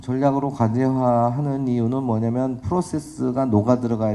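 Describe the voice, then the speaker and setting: Audible room echo surrounds a man speaking at a moderate pace in a dark, mellow tone. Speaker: professor. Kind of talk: lecture. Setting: conference stage with audience.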